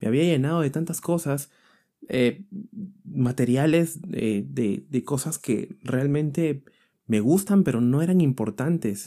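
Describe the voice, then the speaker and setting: A man's fairly high, dark and mellow voice at a very slow pace, in a very clean recording with a silent background. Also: ordinary pitch variation. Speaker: motivational podcaster. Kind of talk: motivational monologue.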